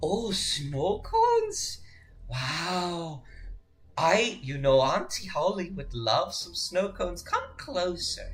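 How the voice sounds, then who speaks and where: In a put-on character voice at a middle pitch, the speaker drags along at a very slow pace with a menacing tone. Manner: sweetly menacing, coaxing.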